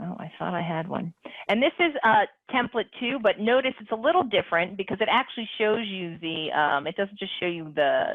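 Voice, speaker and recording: A woman's voice leaps through very wide pitch swings. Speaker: calculator webinar presenter. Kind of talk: software tutorial demonstration. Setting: online webinar. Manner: fast.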